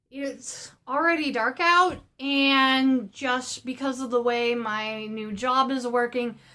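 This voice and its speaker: Raising and projecting her voice, a woman speaks at a very slow pace in a high pitch with a bright, sharp tone, fairly even intonation and hardly any pauses. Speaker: art supply haul vlogger. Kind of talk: casual vlog.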